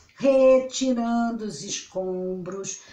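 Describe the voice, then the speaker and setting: There is noticeable background noise and audible room echo. A woman talks at a very slow pace in a fairly high voice with ordinary pitch variation. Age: 60s. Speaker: astrologer. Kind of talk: casual vlog monologue. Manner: rambling, self-interrupting.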